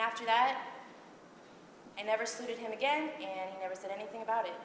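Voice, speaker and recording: Through noticeable background noise, a woman talks at a very fast pace with a fairly high pitch. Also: ordinary pitch variation, big swings in loudness. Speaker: Navy veteran. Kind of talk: personal war story monologue. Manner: poised, sensitive.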